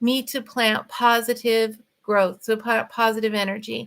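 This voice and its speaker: A woman with a fairly high pitch. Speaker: livestream host and author. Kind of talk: casual livestream talk. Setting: livestream at home. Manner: fast.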